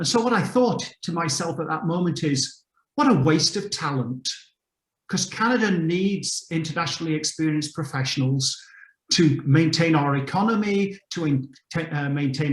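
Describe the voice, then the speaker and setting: A man with an English accent speaks at a fairly high pitch. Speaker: mentor on a panel. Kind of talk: panel discussion.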